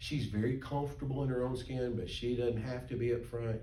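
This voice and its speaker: A man speaks with a Southern US accent, and the room echo is audible. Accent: US South. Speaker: pastor teaching Sunday school. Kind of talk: Sunday school class teaching. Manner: animated.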